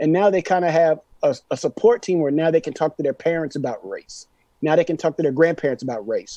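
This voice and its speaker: Quick-paced and dark, a man speaks in a mellow tone at a fairly high pitch, with ordinary pitch variation. The sound is dry and close, with no echo. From Austin, Texas. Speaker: hip-hop artist and producer. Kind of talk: casual chat.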